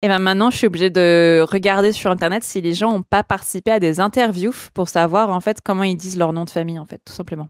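Fairly quick delivery with hardly any pauses, fairly even intonation, a dry sound with no echo and a quiet background. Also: woman. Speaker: art director, illustrator and motion designer; guest. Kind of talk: podcast interview. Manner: loosely articulated.

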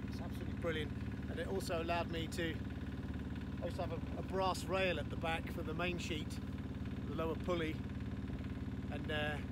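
Against loud background noise, a man talks at a fairly quick pace in a dry sound with no echo. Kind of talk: casual vlog chat. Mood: cheerful, enthusiastic. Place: boat. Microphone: phone near.

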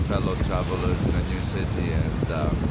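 Loud background noise behind a man speaking at a fairly quick pace. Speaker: travel vlogger. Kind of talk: casual vlog chat. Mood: reflective, personal story. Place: beach. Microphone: phone near.

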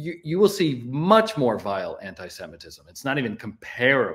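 A man's pitch swings very widely while he keeps a moderate pace. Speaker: podcast co-host, remote guest. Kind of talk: political commentary. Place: home room.

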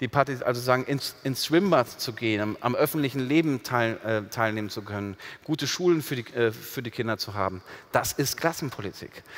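The man speaks at a fairly quick pace and medium pitch. His pitch varies an ordinary amount against a quiet background. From Ruhr area, Germany; Germany. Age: 40s. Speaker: sociologist; guest. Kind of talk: public panel conversation. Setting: stage with audience. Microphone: headset.

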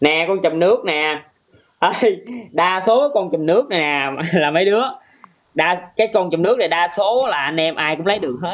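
The speaker goes at a moderate pace, broken by long, frequent pauses. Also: man. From Vietnam. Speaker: gaming live streamer. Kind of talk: casual live stream commentary. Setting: TikTok live stream. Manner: animated.

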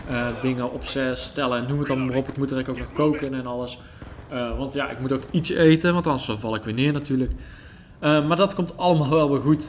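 A fairly quick, medium-pitched male voice with fairly even intonation. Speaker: gaming YouTuber. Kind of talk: gameplay commentary. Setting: separate room at home. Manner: casual, hesitant with fillers. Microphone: possible echo or odd sound.

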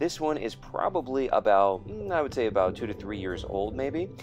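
A man talks while clear music sounds behind him. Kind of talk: commentary.

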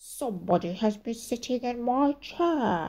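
Growling in a put-on character voice, the speaker goes at a fairly slow pace. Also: woman.

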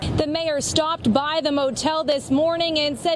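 With light background noise and a dry sound lacking echo, a woman speaks at a moderate pace in a high voice. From United States. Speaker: TV news anchor and reporter. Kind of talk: TV news reporter stand-ups and packages. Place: street. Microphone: handheld.

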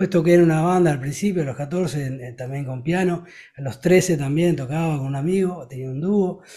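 At a moderate pace, a man with a fairly high pitch and a dark, mellow tone talks with ordinary pitch variation and big swings in loudness. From Uruguay. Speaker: rock singer and guitarist; guest. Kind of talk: interview. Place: home room. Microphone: studio mic.

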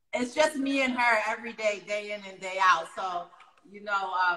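A woman with an American accent speaks at a moderate pace in a fairly high voice with ordinary pitch variation. Audible room echo surrounds her voice. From New York City, Harlem; New York City. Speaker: online talk show host. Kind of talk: casual interview. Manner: animated. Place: home room. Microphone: phone near.

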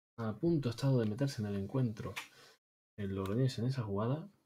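Light background noise sits behind a man's voice. It is somewhat breathy, with a dark, mellow tone. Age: 30s. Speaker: video game streamer. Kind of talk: live gameplay commentary. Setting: live stream. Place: home room.

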